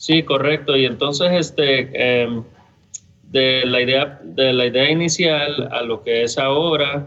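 Over noticeable background noise, a man speaks at a fairly slow pace in a medium-pitched voice with fairly even intonation. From Costa Rica, San José; US from age 12. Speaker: brewery co-founder. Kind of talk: casual interview chat.

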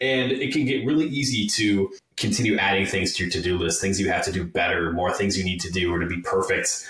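A man talks at a fairly quick pace with hardly any pauses, fairly low pitch and lively intonation. Noticeable background noise and audible room echo are present. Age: 30s. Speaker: fitness podcast host. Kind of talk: casual interview chat.

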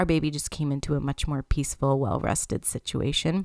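At a moderate pace, a woman with a Canadian accent speaks at a very deep, low pitch, on a very clean recording with a silent background. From Canada. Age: 30s. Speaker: podcast host, human design coach and teacher. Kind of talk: solo podcast monologue. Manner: casual, conversational with laughter.

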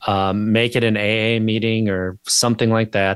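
A normal speaking voice with an American accent and fairly even intonation comes through dry and close with no echo, on a very clean recording with a silent background. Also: man. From Wisconsin, US Upper Midwest. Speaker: podcaster and sobriety coach. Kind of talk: interview conversation. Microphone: good-sounding mic.

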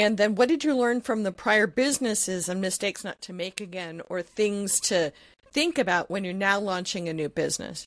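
A woman with a normal speaking voice and a medium pitch talks with lively intonation. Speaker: podcast host. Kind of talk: interview. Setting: remote call.

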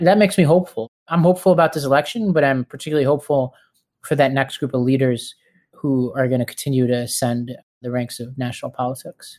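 A man with an American accent, his pitch fairly high, ordinary pitch variation, a very fast pace. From New York City (Staten Island). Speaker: political organizer and nonprofit founder. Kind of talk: casual interview.

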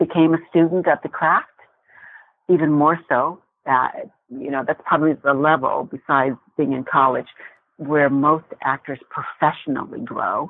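A woman with an American accent, very deep, low pitch, a moderate pace and long, frequent pauses. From Indiana, US Midwest. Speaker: actress. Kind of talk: interview.

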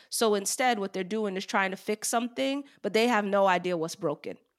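The woman speaks in a New York accent with ordinary pitch variation. Her recording is very clean, with a silent background. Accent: New York American. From New York, Long Island. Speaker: HR executive. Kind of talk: interview.

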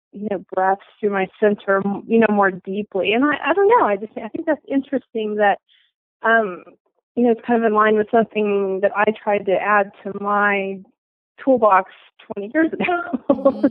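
A woman in a normal speaking voice talks at a moderate pace and a fairly high pitch, varying her pitch in an ordinary way. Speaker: book reviewer and listener. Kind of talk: book review chat.

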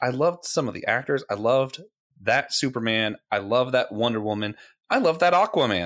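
In a very clean recording with a silent background, a man with an ordinary speaking voice talks at a fairly quick pace with lively intonation. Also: medium pitch for a man. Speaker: podcast co-host. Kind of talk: casual chat about geek culture.

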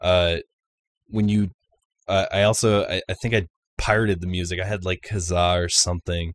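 In an American accent, the speaker keeps a moderate pace with long, frequent pauses and monotone, flat intonation. The recording is very clean, with a silent background and a dry, close sound with no echo. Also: man, very deep, low pitch for a man. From US Northeast (Baltimore, then upstate New York). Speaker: vaporwave musician. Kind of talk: interview. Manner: casual, filler-heavy with frequent 'like'.

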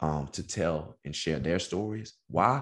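Very deep and low, a man's voice moves at a fairly slow pace. His intonation is lively. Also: quiet background. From Texas. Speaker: author and MS activist, former college football player. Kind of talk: podcast interview.

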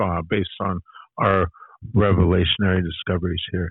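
A man speaks with a very deep, low pitch. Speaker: podcast co-host. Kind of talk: casual podcast discussion.

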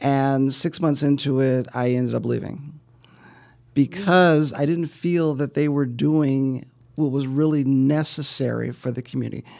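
A man's fairly high-pitched voice with an American accent, fairly slow and fairly even in intonation. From US Midwest, South Side of Chicago. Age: middle-aged. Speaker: real estate investor. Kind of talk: interview. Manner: halting, repeats words.

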